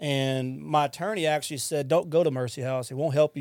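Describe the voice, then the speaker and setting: A man's very fast delivery with fairly even intonation. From Louisiana, Lafayette (Cajun). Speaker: addiction recovery center director. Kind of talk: testimony.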